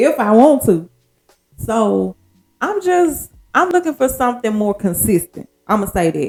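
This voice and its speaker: A woman talks at a fairly slow pace. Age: 40s. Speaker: podcast host. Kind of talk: casual monologue. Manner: casual, conversational.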